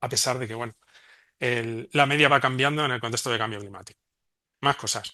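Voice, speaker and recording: Against a quiet background, a man with a Spanish accent talks at a fairly quick pace. His medium-pitched voice has a bright, sharp tone and fairly even intonation. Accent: Spanish (Spain). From Spain. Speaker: remote sensing researcher. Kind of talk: conference presentation. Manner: fast.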